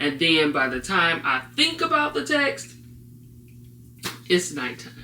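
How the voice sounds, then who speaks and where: A woman speaks at a fairly slow pace. Noticeable background noise runs under her voice. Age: 40s. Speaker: vlogger with ADHD. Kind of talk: personal talk to camera. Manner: hesitant, many fillers.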